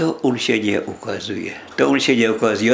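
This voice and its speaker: Noticeable noise fills the background. A man talks over it at a moderate pace. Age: 80s+. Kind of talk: interview answer.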